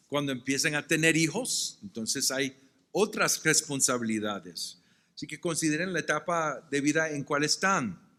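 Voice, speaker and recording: On a very clean recording with a silent background, a man with a bright, sharp, fairly high voice talks at a moderate pace with lively intonation. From Puerto Rico. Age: 60s. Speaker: pastor. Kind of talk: sermon-style lecture at pastors' retreat. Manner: some stammering and self-corrections.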